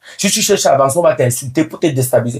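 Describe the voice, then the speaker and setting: A man speaks at a very fast pace in an animated tone with lively intonation. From Cameroon. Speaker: comedian. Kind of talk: interview.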